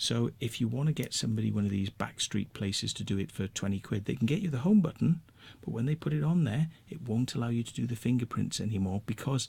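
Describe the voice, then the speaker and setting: A man with a Welsh accent speaks at a fairly quick pace and a medium pitch. His voice is somewhat breathy, with lively intonation. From Wales. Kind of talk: rant to camera. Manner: casual, conversational.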